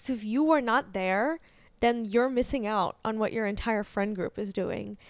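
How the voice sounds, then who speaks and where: In a very clean recording with a silent background, a woman with an American accent and a plain, everyday voice speaks at a moderate pace, her fairly high pitch showing ordinary pitch variation. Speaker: podcast co-host. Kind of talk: casual chat.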